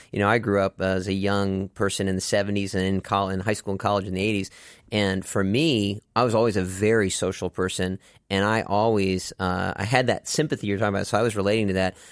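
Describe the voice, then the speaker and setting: A man with an American accent speaks at a very fast pace, with fairly low pitch and fairly even intonation. The recording is very clean, with a silent background. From Texas, Dallas. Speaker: inclusive soccer program co-founder. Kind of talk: casual chat.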